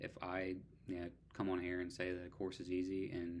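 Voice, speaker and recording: A man speaks quietly in a very deep, low voice. His intonation is flat and monotone. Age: 30s. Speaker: online student vlogger. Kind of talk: casual vlog. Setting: at home at night.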